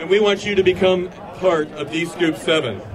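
A man's high-pitched voice in an animated, upbeat tone, with noticeable background noise. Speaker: conference chairman. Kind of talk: rally speech. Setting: live event with audience. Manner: animated, upbeat, crowd-addressing; formal, promotional. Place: street. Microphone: podium.

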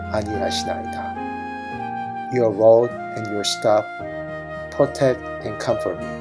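Over music in the background, a man with a fairly low pitch speaks with lively intonation. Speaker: former TV newscaster. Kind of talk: scripture poem reading, bilingual Korean and English.

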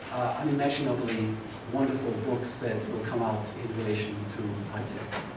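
Talking at a fairly quick pace, a man is heard with noticeable background noise and audible room echo. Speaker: conference host. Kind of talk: opening remarks. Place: hall.

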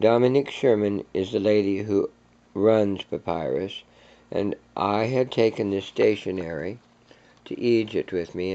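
A man speaks at a moderate pace. His voice sits fairly low. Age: 60s. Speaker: video blogger. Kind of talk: vintage commercial-style narration, then casual show-and-tell. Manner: chatty, friendly, informal when off-script. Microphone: phone near.

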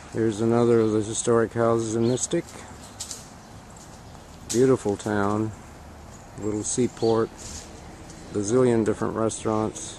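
Over light background noise, a man talks at a moderate pace in a monotone, flat intonation, with long, frequent pauses and a dry sound that has no echo. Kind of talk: casual travel narration. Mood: relaxed, appreciative. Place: street. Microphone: phone near.

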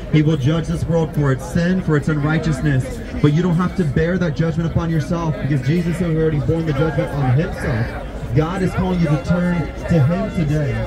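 Fairly quick speech over loud background noise. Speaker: street preacher. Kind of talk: open-air sermon, evangelistic preaching. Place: street.

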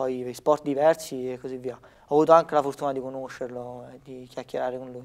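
A man talks in a monotone, flat intonation with a quiet background. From Italy, Lazio (province of Rome). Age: 20s. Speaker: professional badminton player; guest. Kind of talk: interview. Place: studio. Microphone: lapel.

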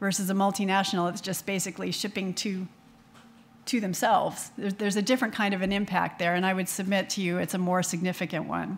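A woman talks at a medium pitch with an American accent. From US. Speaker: small business owner; panelist. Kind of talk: panel discussion. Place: hall. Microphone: podium.

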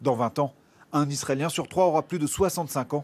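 A man speaks at a moderate pace, his fairly high voice carrying ordinary pitch variation. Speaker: TV reporter. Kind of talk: scripted narration.

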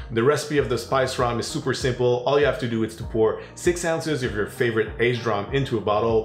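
A man talks with ordinary pitch variation. Audible room echo and light background noise are present. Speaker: home bartender host. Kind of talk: tutorial. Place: kitchen.

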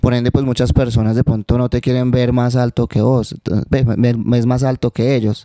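In a quiet background, a man speaks in a monotone, flat intonation. His dark, mellow tone comes through a dry sound with no echo. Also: medium pitch for a man, moderate pace, very even loudness. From Manizales, Colombia; Colombia. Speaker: urban music artist; guest. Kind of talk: interview. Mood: relaxed, reflective. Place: home room. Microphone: handheld.

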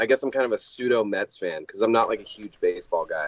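It is quiet in the background. A man does the talking. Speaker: guest. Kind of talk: interview answer. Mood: relaxed, friendly. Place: home room.

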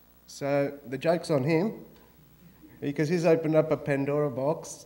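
The pace stays moderate throughout. The speaker is a man with an Australian accent. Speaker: food expert, guest speaker; guest. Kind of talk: lecture. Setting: auditorium with audience. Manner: animated. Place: hall. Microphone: podium.

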